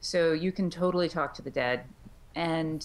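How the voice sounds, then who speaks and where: The woman's pitch is fairly low, and she talks at a moderate pace. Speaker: author, puppeteer and audiobook narrator. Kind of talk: interview answer. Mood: friendly, animated. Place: home room. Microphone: video call.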